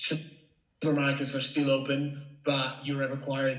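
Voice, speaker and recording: Audible room echo plus noticeable background noise. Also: man. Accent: Italian. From Italy. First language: Italian. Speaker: freelance journalist. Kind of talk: interview. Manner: halting.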